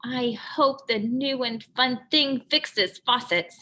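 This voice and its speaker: In a put-on character voice, a female-sounding speaker talks at a fairly slow pace with a high pitch. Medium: read story. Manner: doubtful, mild.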